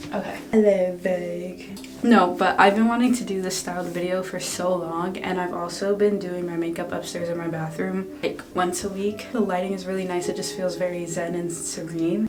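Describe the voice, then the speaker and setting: With hardly any pauses, a woman talks at a moderate pace and a fairly low pitch, her intonation fairly even. Audible room echo and noticeable background noise fill the recording. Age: 20s. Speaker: beauty vlogger. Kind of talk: tutorial. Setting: in a bathroom at home. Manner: soft-spoken; casual.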